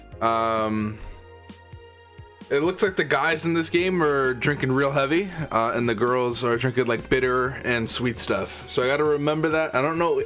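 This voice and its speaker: Over music in the background, a man at a medium pitch talks at a moderate pace with very even loudness. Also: ordinary pitch variation. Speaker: gaming YouTuber. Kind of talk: casual gameplay commentary.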